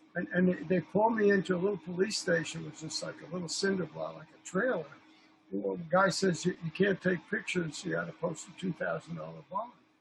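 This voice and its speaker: Someone with an American accent speaks at a fairly quick pace with big swings in loudness over noticeable background noise. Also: man. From New York. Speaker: film director and photographer. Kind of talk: casual chat.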